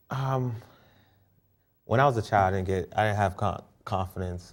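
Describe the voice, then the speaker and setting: A man with an American accent talks at a moderate pace with ordinary pitch variation. The recording is very clean, with a silent background. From Boston, Dorchester. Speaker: show host being interviewed. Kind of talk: interview.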